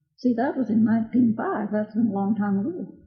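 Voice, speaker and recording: With an American accent, a woman speaks at a moderate pace in a somewhat breathy voice with fairly even intonation. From Oklahoma. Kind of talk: interview answer.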